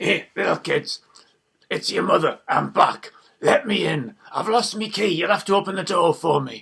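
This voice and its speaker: A man puts on a croaky, gravelly character voice, high in pitch. He keeps a moderate pace. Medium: read story. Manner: sly, wheedling.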